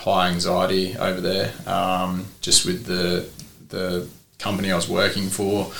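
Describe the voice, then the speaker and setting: A man with an Australian accent speaks at a fairly slow pace amid noticeable background noise and audible room echo. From South Australia, Port Lincoln. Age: 30s. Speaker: surf shop owner and football coach. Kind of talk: casual interview chat.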